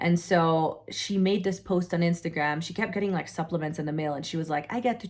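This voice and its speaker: A woman with a non-native accent speaks at a fairly low pitch with ordinary pitch variation. The recording is very clean, with a silent background. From Europe. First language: not English. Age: 20s. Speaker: online entrepreneur. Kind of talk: personal story. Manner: casual, filler-heavy.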